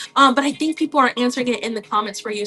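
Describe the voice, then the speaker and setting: A woman's high voice at a very fast pace, with lively intonation and noticeable background noise. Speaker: online seller coach. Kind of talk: livestream tutorial. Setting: live stream. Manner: casual, chatty.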